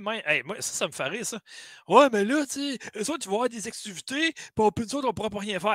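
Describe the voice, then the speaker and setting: Speaking at a moderate pace with a Quebec accent, a man uses a high, bright, sharp voice in a dry sound with no echo against a quiet background. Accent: Québécois French. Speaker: gaming podcast host. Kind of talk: casual chat. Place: home room.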